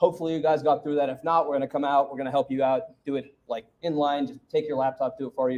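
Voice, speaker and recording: A man's fairly high voice at a very fast pace, with ordinary pitch variation and hardly any pauses. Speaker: developer workshop presenter. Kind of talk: technical workshop. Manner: loud, projecting.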